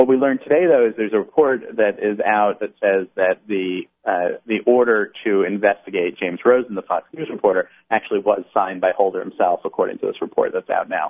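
Hardly any pauses break up this man's fairly quick delivery. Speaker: political journalist. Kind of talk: radio interview.

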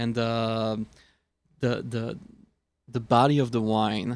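The man's medium-pitched voice stays in a monotone, with flat intonation. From Switzerland. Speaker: wine expert. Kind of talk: casual chat with tasting notes.

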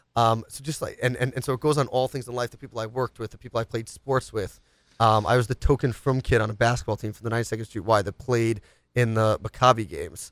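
This very clean recording has a silent background and a dry, close sound with no echo. An American-accented speaker talks at a very fast pace with fairly even intonation and big swings in loudness. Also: man. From New York City, Upper East Side of Manhattan. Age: 20s. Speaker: radio show host. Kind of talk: casual talk show. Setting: studio.

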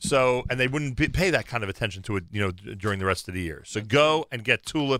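Bright and sharp in tone, the voice races along very fast with lively intonation and hardly any pauses, in a very clean recording with a silent background. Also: man. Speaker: radio host. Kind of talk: casual chat. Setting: studio.

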